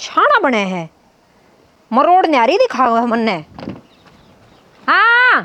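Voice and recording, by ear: Putting on a character voice, a woman speaks slowly at a high pitch with very wide pitch swings. Her tone is bright and sharp.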